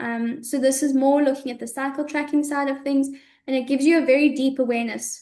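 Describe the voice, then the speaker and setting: A woman speaks very fast at a high pitch with monotone, flat intonation. Audible room echo surrounds her voice. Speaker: women's health educator. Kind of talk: webinar lecture.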